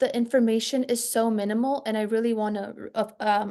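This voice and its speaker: A woman's dark, mellow voice with a non-native accent and flat, monotone intonation. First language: not English. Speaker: student. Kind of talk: casual chat. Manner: halting.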